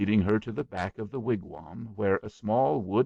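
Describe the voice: What you hear is plain reading aloud.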